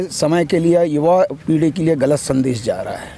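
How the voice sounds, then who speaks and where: A man's high-pitched voice, with ordinary pitch variation, comes through noticeable background noise. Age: 70s. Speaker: retired electricity board executive, interviewee. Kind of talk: street interview.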